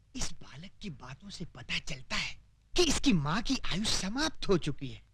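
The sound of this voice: In a put-on character voice, a man talks at a high pitch and a fairly slow pace, with big pitch swings and a fairly bright tone.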